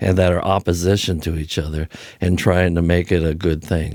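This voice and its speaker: Very deep, low pitch from a man on a very clean recording with a silent background. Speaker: podcast guest, host's father. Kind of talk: casual political discussion. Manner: deadpan.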